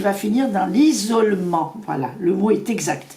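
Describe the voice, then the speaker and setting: Through audible room echo and noticeable background noise, a woman speaks at a fairly slow pace with lively intonation. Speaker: psychic tarot reader. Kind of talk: tarot reading.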